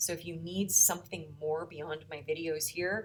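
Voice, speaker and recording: A woman's fairly low voice with an American accent and vocal fry. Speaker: high school math teacher. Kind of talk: recorded video lesson. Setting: empty classroom. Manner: uneven volume; casual, chatty.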